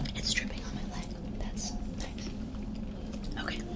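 A woman at a very slow pace amid loud background noise. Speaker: female vlogger / content creator. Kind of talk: ASMR video, casual talk to camera. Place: home room.

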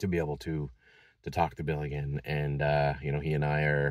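Against a quiet background, a man with a very deep, low pitch talks at a moderate pace with fairly even intonation in a dry sound with no echo. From Massachusetts. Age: 50s. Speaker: vlogger. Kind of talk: personal vlog. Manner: halting, many fillers. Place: car. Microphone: phone near.

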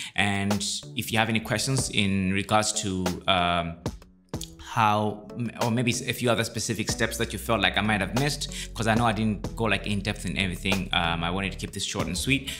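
Clear music plays behind a man speaking at a fairly quick pace. His pitch is fairly low with ordinary variation. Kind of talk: tutorial. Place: home room. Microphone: studio mic.

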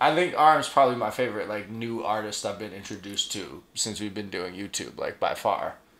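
The speech moves at a moderate pace, with audible room echo. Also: man. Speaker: reaction video host. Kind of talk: casual reaction commentary. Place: home room. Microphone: camera far.

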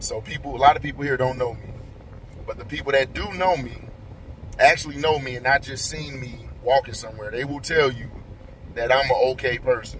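Light background noise sits behind a man. He talks at a fairly quick pace with fairly even intonation. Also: dry sound with no echo. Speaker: vlogger. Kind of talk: casual vlog chat. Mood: frustrated, reflective. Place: car. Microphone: phone near.

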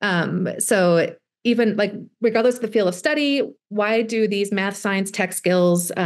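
A woman speaks at medium pitch. Her pitch varies in an ordinary way. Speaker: STEM education specialist. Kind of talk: workshop presentation. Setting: video call. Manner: fast talker.

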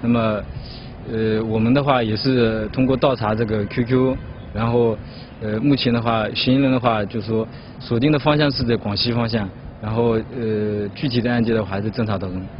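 Medium in pitch, a man speaks at a moderate pace with fairly even intonation, the sound dry with no echo and light noise behind him. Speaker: police officer. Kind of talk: interview answer. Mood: calm, official. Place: street.

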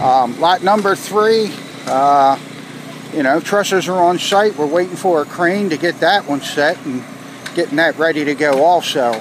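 A man talks at a moderate pace in a high voice for a man. The sound is dry with no echo, but there is noticeable background noise. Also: ordinary pitch variation. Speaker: construction site manager. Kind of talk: progress update. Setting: outdoors at building site. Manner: casual, frequent fillers. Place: street. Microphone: phone near.

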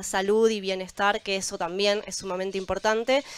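A woman speaks at medium pitch with monotone, flat intonation. The sound is dry with no echo. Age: young. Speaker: probiotics entrepreneur; panelist. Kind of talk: panel discussion. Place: waterside. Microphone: handheld.

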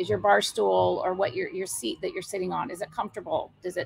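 A woman with an American accent at a fairly quick pace, light background noise behind her. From Iowa. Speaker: brewery owner; interview guest. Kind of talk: interview. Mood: warm, enthusiastic.

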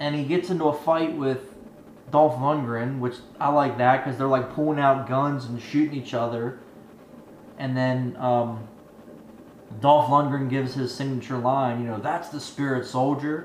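Audible room echo and light background noise around a man's voice. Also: fairly even intonation, moderate pace. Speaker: movie review youtuber. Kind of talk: angry rant, profanity-filled movie review. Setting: home video channel, solo to camera. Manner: ranting, irate, emphatic, defiant, swearing. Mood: frustrated, exasperated. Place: home room. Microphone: webcam.

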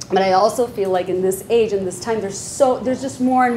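The pace is fairly quick. Light background noise runs underneath. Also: woman. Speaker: panel moderator. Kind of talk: panel moderation, casual talk. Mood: warm, joking. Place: hall. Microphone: lapel.

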